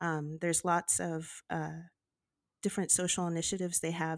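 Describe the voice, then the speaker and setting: With a normal speaking voice, a woman in an American accent talks at a moderate pace, fairly low in pitch and fairly even in intonation, on a very clean, dry, close recording with no echo and a silent background. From US, Los Angeles. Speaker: romance author. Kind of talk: casual chat.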